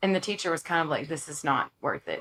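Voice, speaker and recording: A woman with a strong East Texas accent and a very deep, low pitch. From East Texas (Longview). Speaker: country singer-songwriter. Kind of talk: casual interview chat. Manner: animated.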